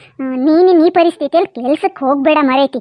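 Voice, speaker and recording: A woman speaks in a cartoonish character voice with ordinary pitch variation. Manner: blunt, forceful.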